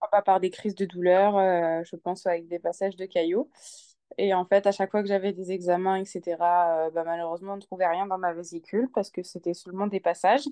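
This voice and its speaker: A woman speaks at a fairly quick pace in a dark, mellow tone, her intonation fairly even, with a dry, close sound free of echo against a quiet background. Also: medium pitch for a woman. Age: 20s. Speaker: new mother sharing birth story. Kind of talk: interview testimony. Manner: halting.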